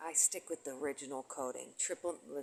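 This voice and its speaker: A soft-spoken woman talks at a very deep, low pitch. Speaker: conspiracy video blogger. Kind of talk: monologue vlog. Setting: at home near neighbors. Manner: soft-spoken, speaking low; halting.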